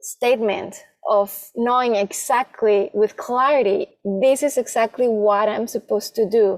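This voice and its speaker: With an ordinary speaking voice, a woman speaks at a fairly high pitch and fairly slow pace, keeping fairly even intonation and very even loudness in a dry, close sound with no echo. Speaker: podcast host and life coach. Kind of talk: podcast interview questions.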